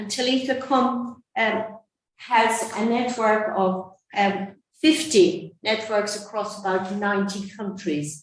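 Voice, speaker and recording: A woman with an Irish accent speaks at a very slow pace, somewhat breathy and fairly high in pitch. Her pitch variation is ordinary, and there's audible room echo. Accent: soft Irish. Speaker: nun and anti-trafficking advocate. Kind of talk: conference talk. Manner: soft-spoken; hesitant.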